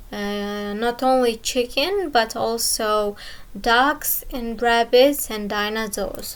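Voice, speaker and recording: A woman with a non-native accent talks very slowly in a fairly high voice. Her pitch rises and falls in an ordinary way. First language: not English. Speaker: gaming youtuber. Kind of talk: game tutorial walkthrough. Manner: halting, many fillers.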